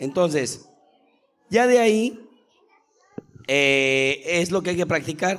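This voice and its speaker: A man speaks at a very slow pace in a high voice, his intonation lively and his speech broken by long, frequent pauses. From Mexico City. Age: 40s. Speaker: acrobatic spinning top champion and instructor. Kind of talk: live interview. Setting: school auditorium with live audience.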